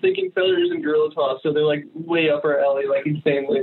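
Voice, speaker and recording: Someone talks at a very fast pace in an American accent over noticeable background noise. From Connecticut. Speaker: band member. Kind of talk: casual chat. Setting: phone call. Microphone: phone line, poor audio quality.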